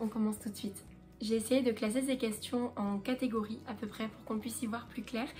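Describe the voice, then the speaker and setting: Over music in the background, a woman talks at a fairly quick pace with a fairly high pitch and monotone, flat intonation. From southern France, Marseille. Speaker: lifestyle vlogger. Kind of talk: casual chat to camera. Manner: relaxed, hesitant with fillers.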